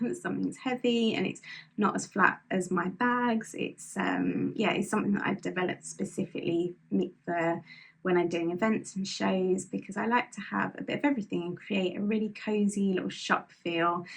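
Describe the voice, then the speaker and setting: A woman's medium-pitched voice with vocal fry and ordinary pitch variation. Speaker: knitting podcaster and small business owner. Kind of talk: casual monologue to camera. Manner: fast.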